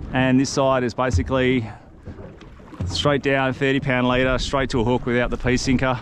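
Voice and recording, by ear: A man speaks at medium pitch and a moderate pace. Faint background noise sits behind him.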